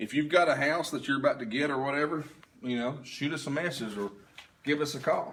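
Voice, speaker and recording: Noticeable background noise runs under this clip. A man in a Southern US accent talks at a fairly quick pace with a fairly high pitch. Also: ordinary pitch variation. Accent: Southern American. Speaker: paranormal investigation team leader. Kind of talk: livestream walkthrough commentary. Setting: livestream at an investigation site. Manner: loud.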